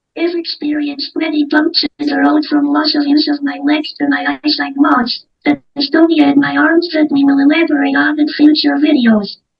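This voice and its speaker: Over music in the background, a woman talks at a moderate pace with hardly any pauses. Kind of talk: personal testimony. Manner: impaired, altered speech.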